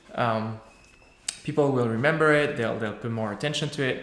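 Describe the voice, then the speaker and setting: A man keeps a moderate pace while audible room echo follows his voice. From France. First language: French. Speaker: software developer. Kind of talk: Q&A after a tech talk. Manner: halting, many fillers.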